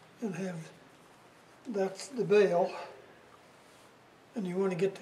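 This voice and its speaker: This man's high-pitched voice moves at a fairly slow pace with fairly even intonation, against noticeable background noise. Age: 80s+. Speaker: Scoutmaster. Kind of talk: instructional demonstration.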